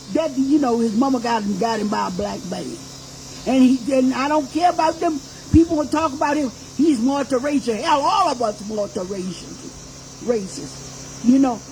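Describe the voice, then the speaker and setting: Against noticeable background noise, a woman with an American accent speaks at a moderate pace in a high pitch, with lively intonation and an animated tone. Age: 80s+. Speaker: activist and reverend. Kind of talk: personal testimony to audience. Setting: birthday party with live audience. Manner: animated, emphatic.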